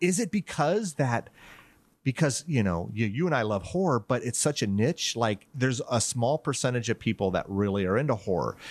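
With a normal speaking voice at a medium pitch, a man talks at a moderate pace with lively intonation and very even loudness. The sound is dry and close with no echo, over a quiet background. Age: 50s. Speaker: horror podcast host, guest. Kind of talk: casual chat.

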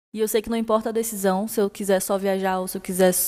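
A woman's dark, mellow voice at medium pitch, fairly even in intonation and fairly quick in pace. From Brasília, Brazil. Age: 20s. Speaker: listener sharing exchange experience. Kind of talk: recorded personal testimony. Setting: recorded voice message.

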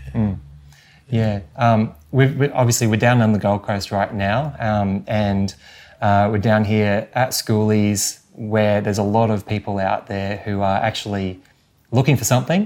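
In a very clean recording with a silent background, someone with an Australian accent talks at a fairly slow pace with fairly even intonation. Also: man, fairly low pitch for a man. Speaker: podcast host. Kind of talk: interview.

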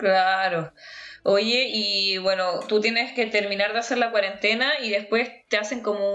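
In a Chilean accent, a woman with a fairly high pitch talks at a fairly slow pace with fairly even intonation. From Chile, Los Andes. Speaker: podcast host. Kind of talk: casual chat.

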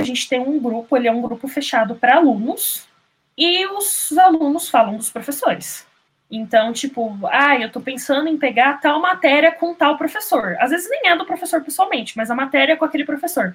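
This woman has a high voice and lively intonation. She speaks at a moderate pace. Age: 20s. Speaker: master's student in computer science. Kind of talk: interview.

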